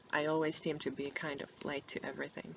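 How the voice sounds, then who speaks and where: A soft-spoken woman's very deep, low voice, monotone and flat. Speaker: book vlogger. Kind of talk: casual chat. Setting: home recording to webcam. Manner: halting. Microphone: poor webcam microphone.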